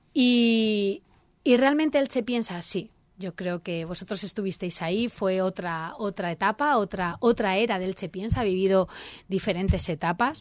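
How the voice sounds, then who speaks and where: A woman speaks at medium pitch with ordinary pitch variation in a very clean recording with a silent background. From Spain, Elche (Alicante). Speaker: civic association president. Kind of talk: radio interview. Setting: radio studio. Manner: animated.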